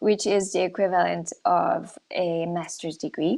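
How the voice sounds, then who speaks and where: A woman is speaking. Her pace is fairly slow. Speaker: art school representative. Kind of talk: presentation. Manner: hesitant, many fillers.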